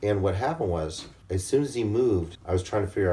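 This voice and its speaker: A man talks at a very fast pace with a very deep, low pitch. His tone is dark and mellow, and somewhat breathy. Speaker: video blogger. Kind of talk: casual storytelling. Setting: hotel room.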